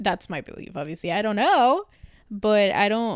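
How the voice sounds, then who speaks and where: A woman at medium pitch speaks with a Spanish accent, the sound dry and close with no echo. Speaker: podcast co-host. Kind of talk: casual chat.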